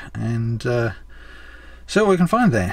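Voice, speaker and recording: Somewhat breathy, a man with an Australian accent speaks at a moderate pace. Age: 60s. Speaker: travel vlogger. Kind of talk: casual vlog narration.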